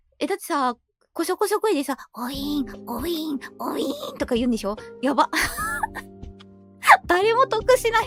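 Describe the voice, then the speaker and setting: A woman's high voice with very wide pitch swings and big swings in loudness, at a moderate pace with long, frequent pauses, dry and close with no echo, music in the background. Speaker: virtual YouTuber. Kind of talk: casual talk to camera.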